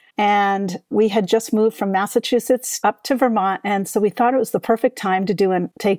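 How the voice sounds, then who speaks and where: The pace is moderate. The sound is dry and close, with no echo, on a very clean recording with a silent background. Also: woman. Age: 60s. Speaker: author and mindfulness teacher. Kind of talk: interview.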